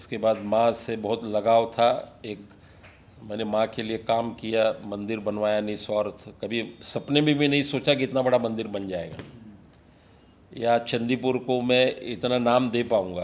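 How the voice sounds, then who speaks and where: Keeping his intonation fairly even, a man talks in an unremarkable speaking voice. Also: medium pitch for a man. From Mumbai, India. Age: 60s. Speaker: businessman and social worker. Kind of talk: podcast interview. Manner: reflective, with fillers.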